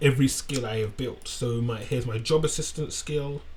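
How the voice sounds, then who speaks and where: This man's voice is fairly high in pitch and somewhat breathy. He speaks at a moderate pace. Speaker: tech tutorial creator. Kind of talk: screen-share tutorial. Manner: halting, self-correcting.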